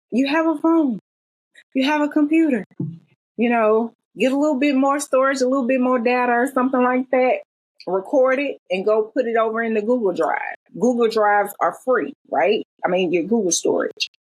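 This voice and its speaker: In a Southern accent, the speaker keeps a moderate pace, very even loudness and lively intonation, with a dry, close sound and no echo. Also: woman, high pitch for a woman. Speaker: self-published author. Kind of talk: interview conversation.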